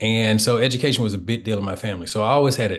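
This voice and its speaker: A man with an Alabama accent speaks at a fairly low pitch in a somewhat breathy voice, with fairly even intonation over a quiet background. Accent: Southern US (Alabama). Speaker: historian and author. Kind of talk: author interview.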